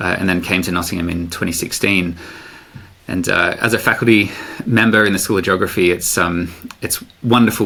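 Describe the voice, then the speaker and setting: A man with an Australian accent speaks in a very deep, low pitch at a moderate pace. His intonation stays fairly even, and there is noticeable background noise. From Australia, Sydney. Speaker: professor. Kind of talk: podcast interview. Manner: hesitant, many fillers.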